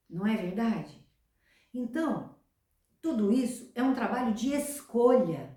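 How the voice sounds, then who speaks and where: Very slow, high-pitched female speech with lively intonation, long, frequent pauses and audible room echo. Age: 60s. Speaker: self-help youtuber. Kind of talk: motivational talk.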